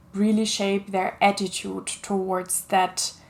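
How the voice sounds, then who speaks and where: A woman with a German accent, medium pitch, and a fairly slow pace. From Germany. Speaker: children's author. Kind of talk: casual talk to camera.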